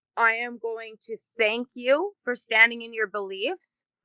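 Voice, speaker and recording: A bright, sharp tone with ordinary pitch variation and a dry, close sound with no echo. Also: woman. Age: adult. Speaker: community group president. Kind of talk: casual interview. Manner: loud.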